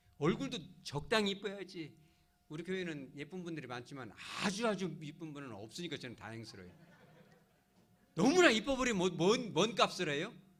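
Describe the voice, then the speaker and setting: Over noticeable background noise and audible room echo, a man with a high-pitched voice speaks with very wide pitch swings and big swings in loudness, pausing long and often. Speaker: pastor. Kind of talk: sermon. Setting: church service. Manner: animated, conversational.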